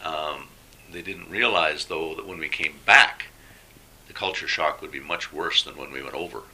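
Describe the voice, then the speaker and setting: Over noticeable background noise, a man with a western Canadian accent talks at a moderate pace, his loudness swinging widely. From Alberta, Canada. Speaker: retired engineering teacher, former volunteer. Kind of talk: interview. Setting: at home.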